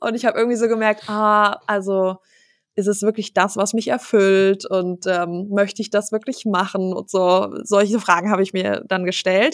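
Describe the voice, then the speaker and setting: Her voice sits at a medium pitch with monotone, flat intonation and a moderate pace. This woman is heard in a very clean recording with a silent background. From Germany, Hesse (Wiesbaden). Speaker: business owner, family company successor. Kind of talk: casual interview. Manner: many filler sounds, laughs often.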